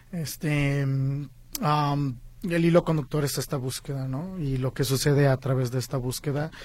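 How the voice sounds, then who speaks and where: Somewhat breathy, a man talks at medium pitch with fairly even intonation. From Guadalajara, Mexico. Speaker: film director and producer. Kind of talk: interview.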